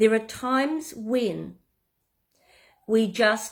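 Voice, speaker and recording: A woman speaks at a fairly slow pace with a New Zealand accent and ordinary pitch variation. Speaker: business coach. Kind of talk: tutorial. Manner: casual, some hesitations.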